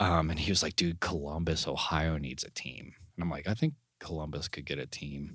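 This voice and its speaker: A man speaks at a fairly quick pace with a very deep, low pitch and vocal fry. His intonation stays fairly even. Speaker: podcast co-host. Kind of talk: casual chat.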